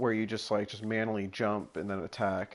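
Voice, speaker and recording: A fairly low-pitched male voice at a moderate pace. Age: young. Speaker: gaming streamer. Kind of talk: casual gameplay commentary.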